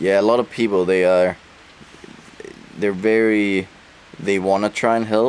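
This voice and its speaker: A Danish accent at a moderate pace, with monotone, flat intonation, very even loudness and long, frequent pauses. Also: man, fairly low pitch for a man. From Denmark. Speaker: travel vlogger. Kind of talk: casual chat.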